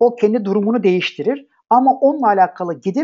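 A man with a high pitch talks at a very fast pace, his pitch swinging very widely. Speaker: programming instructor. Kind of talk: lecture. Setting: live online class. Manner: hesitant fillers.

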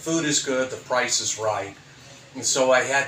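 Recorded with audible room echo and light background noise, a man speaks with an American accent. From United States. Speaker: food reviewer. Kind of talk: casual talk to camera. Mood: upbeat, friendly. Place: home room. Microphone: phone near.

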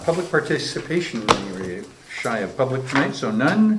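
A man talks at a moderate pace against loud background noise. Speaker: council meeting chair. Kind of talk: meeting chairing. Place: meeting room.

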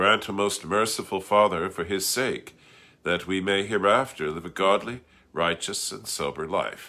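This man has a very deep, low pitch with vocal fry and a bright, sharp tone. His loudness swings widely. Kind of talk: liturgical reading. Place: home room. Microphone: phone near.

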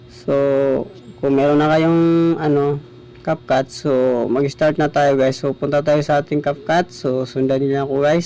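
A man speaks at a fairly high pitch in a flat monotone. Noticeable background noise is present. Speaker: small YouTuber. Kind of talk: tutorial.

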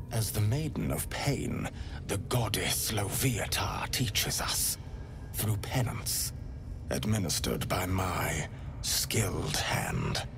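Over loud background noise, a man whispers in a put-on character voice. His pace is fairly slow. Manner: silky, intimate, unctuous; ecstatic, relishing.

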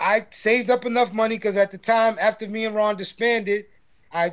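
In a New York accent, a man talks at a fairly quick pace in a high pitch. His intonation is monotone and flat, against a quiet background. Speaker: hip hop producer; guest. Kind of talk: casual interview. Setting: video call. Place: studio. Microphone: video call.

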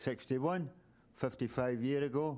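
This man speaks in a Glasgow accent at a medium pitch. His tone is dark and mellow, and his pace is moderate. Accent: Scottish (Glasgow). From Scotland, Glasgow. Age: 70s. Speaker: member of the public at a council meeting. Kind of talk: public comment. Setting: city council meeting with audience. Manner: rambling, halting.

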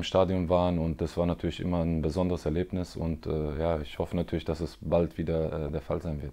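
A man speaks at a fairly quick pace in a very deep, low pitch with a dark, mellow tone and monotone, flat intonation. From Germany, Freiburg (Baden); Baden, Germany. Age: 30s. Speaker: professional footballer. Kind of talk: interview. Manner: hesitant, many fillers. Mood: calm, reflective. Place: home room. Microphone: lapel.

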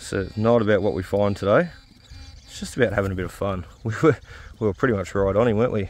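Over background music, a man with a fairly low pitch talks very fast with ordinary pitch variation and big swings in loudness, in a dry sound with no echo. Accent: Australian. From Australia. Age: 30s. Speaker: metal detecting YouTuber. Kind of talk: casual vlog commentary. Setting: outdoors. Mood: reflective, a bit upset. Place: park. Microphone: phone near.

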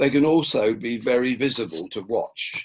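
This is a man speaking. The background is quiet. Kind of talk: lecture. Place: home room. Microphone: webcam.

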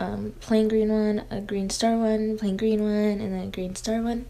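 A woman's fairly slow speech in a monotone, flat intonation. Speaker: beauty vlogger. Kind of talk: casual vlog chat.

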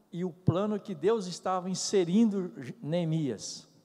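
Against a quiet background, a man speaks at a very slow pace. His voice is high-pitched with a dark, mellow tone. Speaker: church member. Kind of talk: group discussion comment. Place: church. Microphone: podium.

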